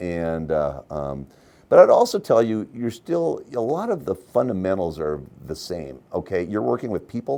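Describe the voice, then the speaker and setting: A man speaks in a very deep, low voice with a dark, mellow tone. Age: 60s. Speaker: bank CEO. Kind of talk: interview. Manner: halting, many repetitions.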